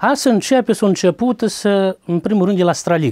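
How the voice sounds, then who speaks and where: With a quiet background, a man uses a high pitch, a dark, mellow tone and ordinary pitch variation. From Romanian community in Transcarpathia, Ukraine (Rakhiv area); Transcarpathia, Ukraine. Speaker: carpenter and folk fiddler, home museum keeper; interviewee. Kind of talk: interview. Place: home room.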